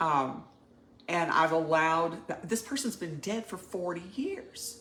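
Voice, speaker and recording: A woman with an unremarkable speaking voice talks at a fairly slow pace, her fairly low pitch carried by lively intonation. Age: 60s. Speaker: coaching client. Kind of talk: personal testimony.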